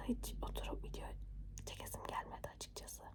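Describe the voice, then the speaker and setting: Noticeable background noise surrounds a woman. She is whispering at a moderate pace. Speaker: ASMR creator. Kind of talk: whispered ASMR chat. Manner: whispered.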